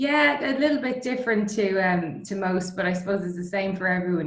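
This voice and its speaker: Talking at a fairly quick pace in an Irish accent, a woman is heard with audible room echo and noticeable background noise. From Ireland, Dublin. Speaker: distillery co-founder. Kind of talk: interview. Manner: hesitant, many fillers.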